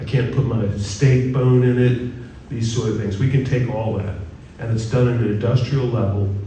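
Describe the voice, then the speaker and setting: A man with a medium pitch is heard amid audible room echo and noticeable background noise. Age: 60s. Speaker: guest speaker on composting. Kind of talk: presentation at a church forum. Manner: conversational, engaging the audience.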